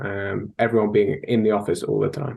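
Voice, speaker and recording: A man speaks with a strong British accent. His intonation is fairly even. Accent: thick British. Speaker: sales technology consultant. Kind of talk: interview.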